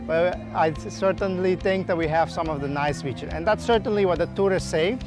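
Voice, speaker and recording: A man speaks at a fairly quick pace in a dry sound with no echo. Clear music plays in the background. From Aruba. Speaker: marine biologist. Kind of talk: interview answer. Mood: calm, friendly. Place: beach.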